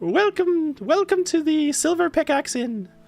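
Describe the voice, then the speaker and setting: Putting on a character voice in a Scottish accent, a man speaks at a moderate pace with an extremely high pitch. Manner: welcoming.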